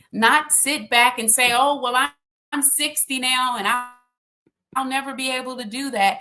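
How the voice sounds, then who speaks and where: A high-pitched, raised and projected woman's voice with a bright, sharp tone, an American accent and a moderate pace. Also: fairly even intonation. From Texas (Austin). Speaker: consultant and author. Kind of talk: podcast interview.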